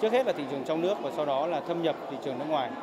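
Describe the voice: A man's fairly high-pitched, very fast delivery with lively intonation, over clear background noise including clear crowd noise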